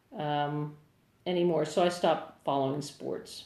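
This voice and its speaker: A woman with an American accent talks at a fairly slow pace. Audible room echo surrounds her voice. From New Jersey, Asbury Park. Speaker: singer-songwriter. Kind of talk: casual livestream chat. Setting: livestream answering viewer comments.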